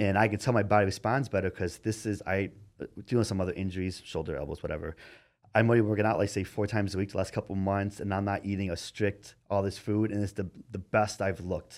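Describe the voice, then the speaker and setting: A man with a fairly low voice talks very fast in a fairly even tone, recorded very cleanly against a silent background. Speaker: bodybuilder and coach. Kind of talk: casual chat.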